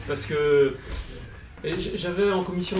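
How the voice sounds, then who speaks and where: A man at a moderate pace with ordinary pitch variation, amid audible room echo and noticeable background noise. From Brittany, France. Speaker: politician, conference panelist. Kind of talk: conference talk. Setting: conference with audience. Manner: hesitant, many fillers.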